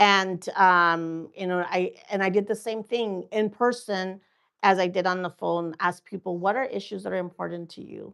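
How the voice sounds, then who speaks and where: Against a quiet background, a woman with a Spanish accent speaks at a moderate pace and medium pitch, with fairly even intonation and big swings in loudness. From Mexico, raised in Oregon farm worker community. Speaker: political candidate. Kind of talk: interview. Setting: studio. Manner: halting, many fillers.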